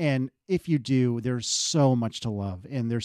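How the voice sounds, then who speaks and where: Here a man at medium pitch has a plain, everyday voice. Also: dry, close sound with no echo. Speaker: podcast panelist. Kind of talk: casual chat.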